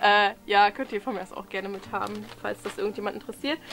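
Noticeable background noise with ordinary variation in pitch. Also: woman. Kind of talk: casual talk to camera. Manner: hesitant, many filler sounds.

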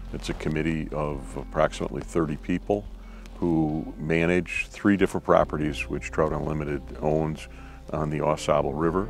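A man's very deep, low voice with ordinary pitch variation at a moderate pace, dry with no echo, faint music behind. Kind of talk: interview answer. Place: forest. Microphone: lapel.

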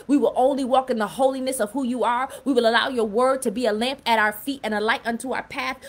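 This woman's voice is high in pitch, with fairly even intonation. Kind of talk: fervent prayer. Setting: live stream on Clubhouse and Facebook. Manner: impassioned, rhythmic; repetitive, pleading. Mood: earnest, devout. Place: home room. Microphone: phone near.

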